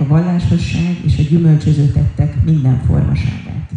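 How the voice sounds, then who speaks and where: The speech moves at a fairly quick pace. There is noticeable noise in the background. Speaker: interpreter. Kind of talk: live interpretation of a religious talk.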